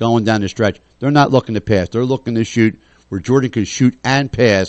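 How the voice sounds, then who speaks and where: A man with a plain, everyday voice talks at a fairly quick pace and medium pitch, his intonation lively. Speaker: radio host. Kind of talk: casual chat.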